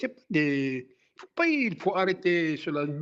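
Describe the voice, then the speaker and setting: The man has a high-pitched voice. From Algeria (Kabylie). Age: 60s. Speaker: former activist. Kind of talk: interview testimony. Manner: halting.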